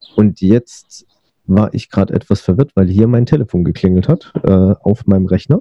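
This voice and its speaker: Captured with a dry, close sound and no echo, a man's fairly low voice has a dark, mellow tone, very even loudness, ordinary pitch variation and a moderate pace. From Berlin, Germany. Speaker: podcast host. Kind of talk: interview; scripted narration. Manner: hesitant with fillers.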